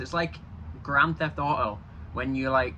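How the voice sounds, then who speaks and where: Moderate-paced speech from a man, noticeable background noise all around. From Yorkshire, England. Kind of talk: casual talk to camera.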